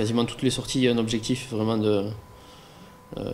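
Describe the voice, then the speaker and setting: Monotone, flat intonation from a man at medium pitch. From southern France (Aveyron, Rodez). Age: 20s. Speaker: professional cyclist. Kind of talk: interview. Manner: halting, many fillers and repetitions.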